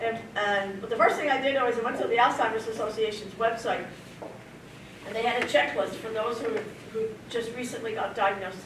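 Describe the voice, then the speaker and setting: Over noticeable background noise and audible room echo, a woman talks fairly quickly at a fairly high pitch with fairly even intonation. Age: 70s. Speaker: person living with early onset Alzheimer's sharing her story. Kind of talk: personal testimony at a community presentation. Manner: halting, with many fillers and restarts.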